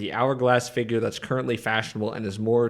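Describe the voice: Someone reads aloud plainly.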